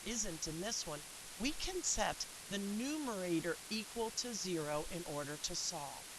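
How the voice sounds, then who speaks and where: A woman talks at a fairly slow pace with very wide pitch swings. Audible room echo surrounds her voice. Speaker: math teacher. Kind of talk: video lesson tutorial.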